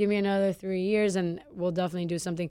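A woman with an American accent, a normal speaking voice, talks at medium pitch with fairly even intonation. The recording is very clean, with a silent background. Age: 20s. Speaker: chef and restaurant owner. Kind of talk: casual interview. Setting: studio.

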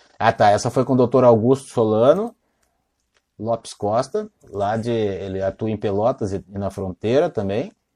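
A man's dark, mellow tone, dry and close with no echo. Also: medium pitch for a man, ordinary pitch variation, moderate pace. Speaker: lawyer hosting livestream interviews. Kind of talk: casual livestream interview. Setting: home office livestream.

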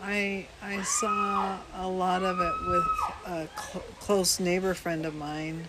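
With an American accent, the speaker moves at a very slow pace with hardly any pauses and ordinary pitch variation, over noticeable background noise. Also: woman, medium pitch for a woman. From Washington State, US. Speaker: host's mother. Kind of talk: casual family interview.

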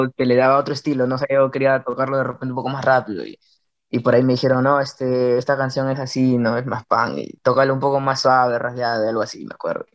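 A man talks at a very fast pace in a flat, monotone delivery. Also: medium pitch for a man. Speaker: punk band guitarist. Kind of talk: casual interview.

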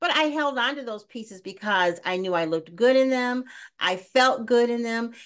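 Against a quiet background, a woman with an ordinary speaking voice talks at a moderate pace, fairly high in pitch and with lively intonation. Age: 60s. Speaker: podcast host. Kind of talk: casual interview chat.

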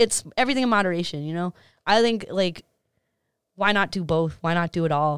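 A woman with an American accent and fairly low pitch talks at a fairly quick pace with long, frequent pauses, ordinary pitch variation and big swings in loudness, the sound dry and close with no echo on a very clean recording with a silent background. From Boston area, Massachusetts (Medford). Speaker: DJ. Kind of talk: casual chat.

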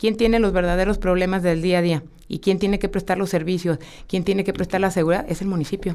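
The tone is dark and mellow. The pace is very fast. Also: woman, medium pitch for a woman. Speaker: mayoral candidate, politician. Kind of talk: radio interview. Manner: energetic; direct.

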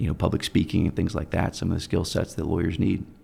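Vocal fry runs through a man's dark, mellow tone. He speaks at a very fast pace. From Germany, US military family. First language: German. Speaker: personal injury attorney. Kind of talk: interview.

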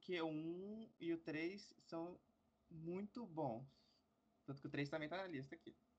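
A man speaks fairly slowly, leaving long, frequent pauses. His high pitch varies in an ordinary way. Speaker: podcast host. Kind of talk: casual chat.

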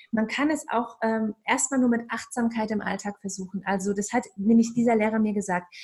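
Her voice is fairly high in pitch, with a dark, mellow tone. The woman sounds calm and moves at a fairly quick pace. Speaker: meditation and ayurveda coach. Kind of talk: casual chat.

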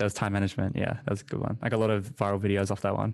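A man with a New Zealand accent, fairly low in pitch, at a very fast pace against a quiet background. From New Zealand, small town. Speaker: podcast host. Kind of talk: interview.

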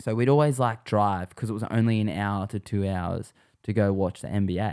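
A man's fairly low, dark, mellow voice with an Australian accent and fairly even intonation, on a very clean recording with a silent background. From Western Sydney, Australia. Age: 20s. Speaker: pro scooter rider. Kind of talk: casual chat.

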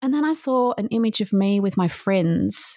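Speaking at a fairly slow pace with an Australian accent, a woman is heard in a dry, close sound with no echo. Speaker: author and motivational speaker. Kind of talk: interview testimony.

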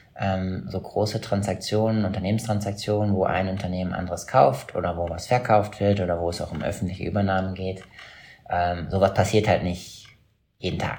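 A man speaks at a fairly quick pace with a very deep, low pitch and fairly even intonation, with audible room echo around him. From Schleswig-Holstein, northern Germany. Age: 30s. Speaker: investment banker. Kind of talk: interview. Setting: video call.

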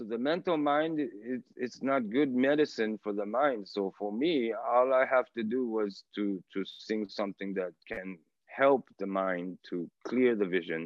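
Lively intonation from a man at a medium pitch, with a fairly slow pace. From Japan. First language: Japanese. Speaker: reggae artist. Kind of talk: interview.

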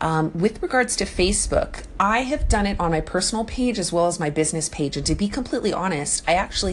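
Noticeable background noise accompanies a woman speaking at a very fast pace. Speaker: fellow live audio broadcaster. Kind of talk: recorded voice message advice. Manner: fast talker.

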